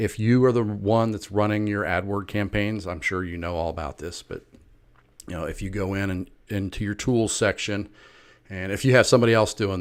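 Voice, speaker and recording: A man with an ordinary speaking voice and fairly low pitch talks at a moderate pace in a very clean recording with a silent background. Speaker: marketing consultant. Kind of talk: sales pitch. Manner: casual.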